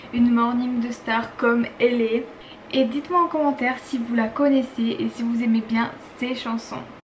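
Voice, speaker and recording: A woman speaks at a fairly slow pace, her pitch fairly high and her intonation fairly even. Noticeable background noise runs under her voice. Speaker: beauty and lifestyle vlogger. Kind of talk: casual vlog tutorial. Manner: casual, hesitant with frequent fillers.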